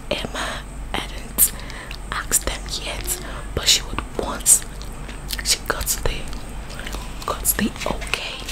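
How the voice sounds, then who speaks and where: Whispering, a soft-spoken woman talks at a very slow pace. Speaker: story reader. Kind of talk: reading a novel aloud, casual asides. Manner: soft sleepy whispered reading. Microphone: phone near.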